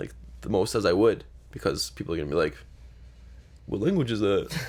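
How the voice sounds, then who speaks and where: A man mumbles at a fairly quick pace. Vocal fry runs through his voice. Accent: Canadian. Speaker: podcast co-host. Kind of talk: casual chat. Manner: fast; mumbling.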